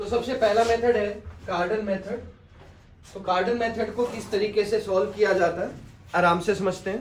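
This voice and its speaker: Pausing long and often, a man speaks at a high pitch with fairly even intonation amid audible room echo. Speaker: math teacher. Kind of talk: tutorial. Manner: slow.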